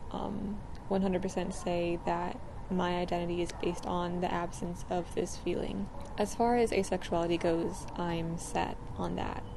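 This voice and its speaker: A soft-spoken woman's fairly low voice in a monotone, flat intonation at a moderate pace, with audible room echo. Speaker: video blogger. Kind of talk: personal vlog talk. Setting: outdoors. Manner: hesitant, many fillers.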